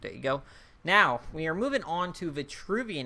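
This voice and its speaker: This man's tone is bright and sharp. His pitch swings very widely. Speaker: gaming YouTuber reviewing card game expansion. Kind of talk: casual video commentary. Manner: fast-talking; animated.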